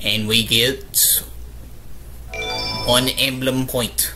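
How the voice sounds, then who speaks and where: A man is speaking. Background noise is noticeable. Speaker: gamer. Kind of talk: casual let's-play commentary. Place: home room.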